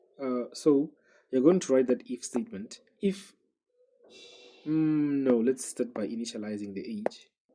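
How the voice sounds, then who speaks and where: Music runs in the background while a man speaks with a non-native accent. His intonation is lively, with long, frequent pauses. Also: medium pitch for a man, fairly slow pace. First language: not English. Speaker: programming tutor. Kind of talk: tutorial. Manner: halting, many fillers.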